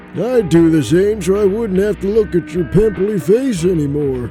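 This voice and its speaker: A man puts on a character voice pitched high, talking at a moderate pace. Clear music plays in the background. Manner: brash, mocking.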